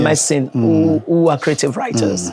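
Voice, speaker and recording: With music in the background, a woman speaks at a very deep, low pitch, her voice making very wide pitch swings. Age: 60s. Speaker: professor of phonetics and phonology. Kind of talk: interview answer.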